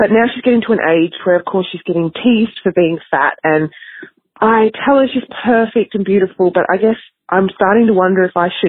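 With an Australian accent, a woman talks with ordinary pitch variation. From Australia, Melbourne. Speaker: listener with a question, mother. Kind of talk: recorded voice message. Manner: hesitant.

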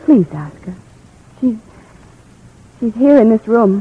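Using a put-on character voice, a woman speaks slowly at a fairly high pitch, with a husky, rough edge and lively intonation.

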